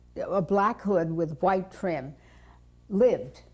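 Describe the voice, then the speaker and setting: With a New York accent, a woman speaks at a very slow pace in a fairly low pitch with vocal fry. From New York City (Brooklyn). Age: 70s. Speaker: interviewee telling life story. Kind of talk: oral history interview.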